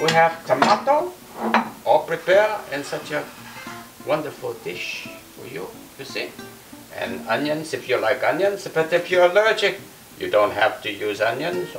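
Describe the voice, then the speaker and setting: A man speaks at a moderate pace, pausing long and often. His loudness swings widely, and faint music plays in the background. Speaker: guest. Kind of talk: cooking tutorial with comic banter. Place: kitchen.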